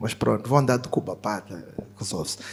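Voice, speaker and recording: A man's voice with ordinary pitch variation on a very clean recording, silent in the background. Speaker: fintech executive, panelist. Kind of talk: panel discussion.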